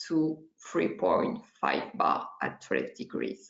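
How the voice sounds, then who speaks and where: A woman in a French accent speaks at a very slow pace. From France. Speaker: oenologist. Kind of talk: webinar presentation.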